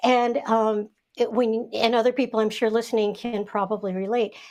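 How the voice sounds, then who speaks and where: Speaking at a moderate pace, a woman uses a fairly high pitch and a monotone, flat intonation. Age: 60s. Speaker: author and friend of the guest. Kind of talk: casual chat.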